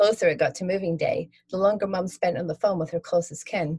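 The reading voice sounds natural. Its intonation is fairly even.

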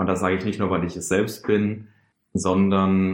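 A man's very deep, low voice in a monotone, flat intonation. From Karlsruhe, Baden. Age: 20s. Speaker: engineering student, young communist activist. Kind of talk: personal testimony interview. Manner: hesitant, many fillers.

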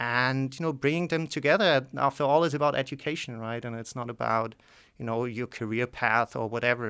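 On a very clean recording with a silent background, a man with a German accent speaks at a fairly quick pace with ordinary pitch variation. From southwestern Germany, near Basel. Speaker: economics professor. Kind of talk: interview. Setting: studio.

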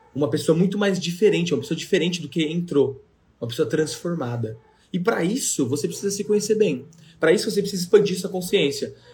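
Delivered very fast, the speech carries lively intonation. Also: man, high pitch for a man. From Brazil, São Paulo metro area (Ferraz de Vasconcelos). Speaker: podcast host, motivational speaker. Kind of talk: motivational talk, casual live chat. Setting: live video stream on 4G. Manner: animated.

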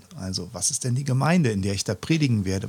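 Lively in intonation and somewhat breathy, a man speaks at a moderate pace in a very clean recording with a silent background. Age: 50s. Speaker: pastor. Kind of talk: casual chat.

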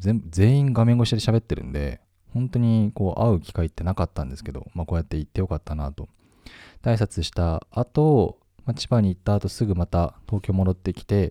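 On a very clean recording with a silent background, a man with a very deep, low pitch and a dark, mellow tone speaks at a fairly quick pace with lively intonation, the sound dry and close with no echo. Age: 30s. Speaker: web media editor-in-chief hosting a solo podcast. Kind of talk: unscripted solo talk. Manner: casual, many fillers.

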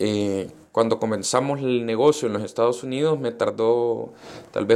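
A man talks at a medium pitch with fairly even intonation in a normal speaking voice. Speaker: entrepreneur. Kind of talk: interview. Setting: coworking space studio.

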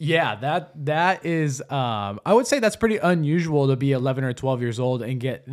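The recording is very clean, with a silent background. A man with a fairly high pitch talks at a moderate pace with lively intonation and hardly any pauses. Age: young. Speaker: podcast co-host. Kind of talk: casual chat.

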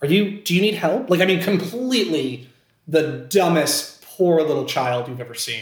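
A man's high voice with an American accent and lively intonation, in audible room echo. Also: moderate pace. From Scranton, Pennsylvania. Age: 20s. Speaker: actor. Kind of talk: casual chat.

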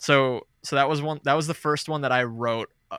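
In a dry, close recording with no echo, a man speaks at a moderate pace with an American accent. His medium-pitched delivery has fairly even intonation and an ordinary speaking voice. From New Jersey. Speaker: metal musician. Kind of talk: casual interview chat.

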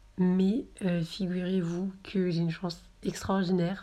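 With fairly even intonation, a woman speaks at a fairly low pitch in a dark, mellow tone. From southern France, Marseille. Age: 20s. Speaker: podcaster and student. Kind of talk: casual monologue. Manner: hesitant, many fillers.

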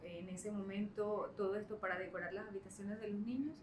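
A woman speaks at a medium pitch. The room echo is audible and the background noise is noticeable. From Caribbean coast of Colombia. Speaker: entrepreneur, children's room designer. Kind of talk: interview.

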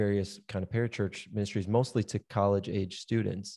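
It's a man with a plain, everyday voice, fairly low in pitch. He keeps a moderate pace and fairly even intonation. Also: very clean recording, silent background. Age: 30s. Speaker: podcast host and pastor. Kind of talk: casual chat.

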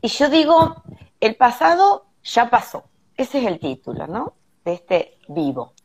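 This woman's voice is fairly high, with vocal fry and very wide pitch swings. She speaks at a fairly slow pace. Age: 50s. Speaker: holistic therapist. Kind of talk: live stream panel discussion. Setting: hotel room, video call.

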